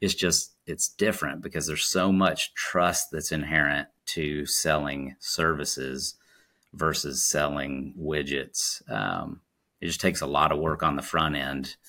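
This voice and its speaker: On a very clean recording with a silent background, a man speaks with a very deep, low pitch, vocal fry and a bright, sharp tone. His pace is fairly slow and his intonation fairly even. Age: 40s. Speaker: sales executive. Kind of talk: interview.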